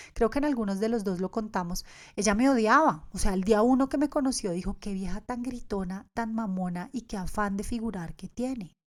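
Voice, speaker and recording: On a very clean recording with a silent background, a woman speaks fairly quickly at a medium pitch. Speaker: podcast host, yoga teacher. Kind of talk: podcast monologue.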